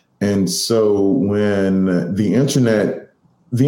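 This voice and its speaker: A man's fairly low-pitched voice carries audible room echo. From Boston, Mattapan. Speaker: social media executive. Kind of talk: interview.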